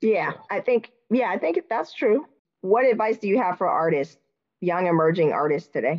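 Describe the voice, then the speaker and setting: Using a plain, everyday voice, a woman talks at a moderate pace with medium pitch and lively intonation. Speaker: podcast host. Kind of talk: interview, casual chat.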